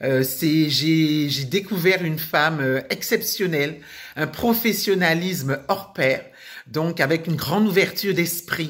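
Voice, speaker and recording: Her pitch is fairly low, with ordinary variation. The woman speaks at a very slow pace. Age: 60s. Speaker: retired nurse giving a client testimonial. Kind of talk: testimony. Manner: halting, many hesitations.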